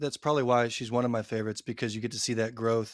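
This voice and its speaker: Recorded very cleanly with a silent background, a man speaks in a Texan accent at a medium pitch. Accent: Texan American English. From Texas. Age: 30s. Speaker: book influencer. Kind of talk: casual chat.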